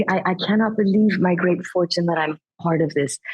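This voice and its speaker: A woman speaks at a medium pitch in an enthusiastic tone. Her voice is somewhat breathy. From Iran. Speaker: actress. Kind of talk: interview answer.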